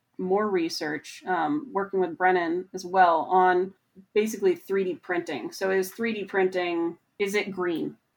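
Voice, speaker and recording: In an ordinary speaking voice with an American accent, a woman speaks at a fairly slow pace, her medium pitch carried by fairly even intonation. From Montana, US. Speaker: research mechanical engineer. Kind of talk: interview.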